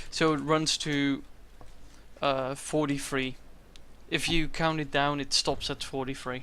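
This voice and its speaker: This man's voice is fairly high in pitch, with a bright, sharp tone and monotone, flat intonation. He moves at a fairly slow pace, with long, frequent pauses. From Netherlands. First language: Dutch. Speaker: esports tournament commentator and streamer. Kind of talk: live commentary.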